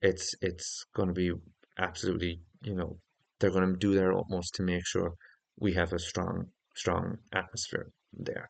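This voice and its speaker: A man speaks at a moderate pace with an Irish accent, his voice very deep and low and his intonation flat and monotone. The sound is dry and close with no echo, over a quiet background. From Ireland. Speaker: football YouTuber. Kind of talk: casual football preview monologue. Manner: hesitant, with fillers.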